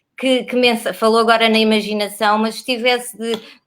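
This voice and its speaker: On a very clean recording with a silent background, a woman speaks in a European Portuguese accent. Her pace is moderate and her intonation monotone and flat. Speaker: interviewer, library program host. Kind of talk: interview.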